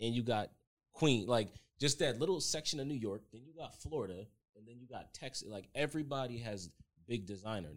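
In a normal speaking voice with an American accent, a man talks at a fairly quick pace and medium pitch, with lively intonation and big swings in loudness. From Norwalk, Connecticut. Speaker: videographer. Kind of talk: casual chat.

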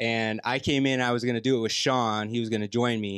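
Here a man has a plain, everyday voice at a medium pitch and a moderate pace. The recording is very clean, with a silent background. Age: 40s. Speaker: gym member. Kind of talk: casual chat.

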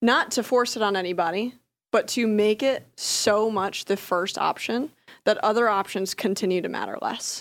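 With an American accent, a woman uses a normal speaking voice at a fairly high pitch, with ordinary pitch variation and a moderate pace. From rural US. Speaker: health tech startup CEO. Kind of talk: casual chat.

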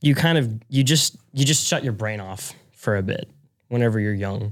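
Very wide pitch swings at a moderate pace with long, frequent pauses. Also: man. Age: young. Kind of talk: casual chat.

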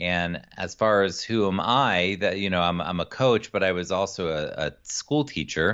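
Speaking in an American accent with a very deep, low pitch, a man keeps a moderate pace and hardly any pauses. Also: ordinary pitch variation. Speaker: executive function coach. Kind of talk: interview.

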